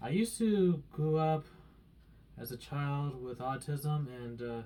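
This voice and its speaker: Very slowly, a man speaks in a fairly high, somewhat breathy voice with a dark, mellow tone and big swings in loudness. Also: ordinary pitch variation. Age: 30s. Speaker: shopping cart collector and customer assistant. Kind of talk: audition tape talk to camera.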